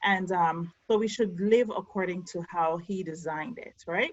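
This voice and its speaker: This woman has a somewhat breathy voice. She talks at a moderate speed. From Jamaica. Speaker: podcast co-host. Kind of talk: casual talk to camera over video call. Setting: video call.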